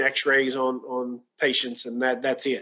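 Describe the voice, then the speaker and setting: A man's fairly high-pitched voice with a bright, sharp tone at a fairly slow pace. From rural Kentucky. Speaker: radiologic science professor; guest. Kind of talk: Q&A interview on a webinar. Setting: video call. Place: home room. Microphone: webcam.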